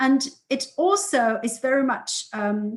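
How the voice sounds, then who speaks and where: A woman speaks at a high pitch with lively intonation. The background is quiet. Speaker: political science researcher. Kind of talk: academic presentation. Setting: video call webinar. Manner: hesitant, many fillers.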